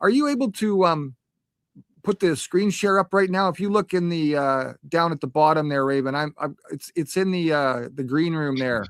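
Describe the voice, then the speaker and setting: A man speaks at a moderate pace in a fairly high pitch, with ordinary pitch variation. It is an unremarkable speaking voice, recorded dry and close with no echo. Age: 50s. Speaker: panelist. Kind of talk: panel discussion.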